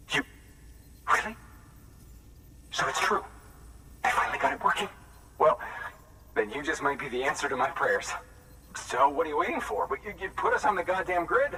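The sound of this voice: A put-on character voice with a bright, sharp tone moves at a moderate pace. Pitch swings widely, broken by long, frequent pauses. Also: man, fairly high pitch for a man.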